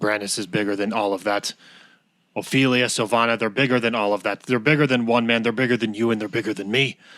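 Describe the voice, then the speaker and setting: A man puts on a raspy character voice at medium pitch. He talks at a very fast pace with fairly even intonation. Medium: actual play. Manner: stern, condescending.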